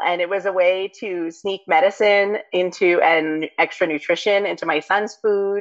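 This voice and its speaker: A woman in an ordinary speaking voice keeps a medium pitch, a moderate pace and ordinary pitch variation. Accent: American. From New York City. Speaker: herbalist and author. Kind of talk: interview conversation.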